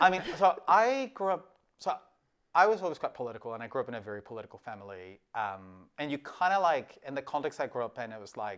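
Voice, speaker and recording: A man's fairly high voice with a Spanish accent, at a very fast pace, with very wide pitch swings and big swings in loudness, over a quiet background. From Mexico, Tijuana. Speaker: politician. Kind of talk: casual interview.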